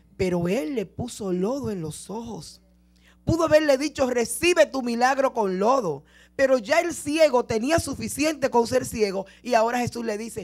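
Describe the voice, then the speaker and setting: A woman speaks in a high voice with big swings in loudness. The background is quiet. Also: moderate pace. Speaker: preacher. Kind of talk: sermon. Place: church. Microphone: handheld.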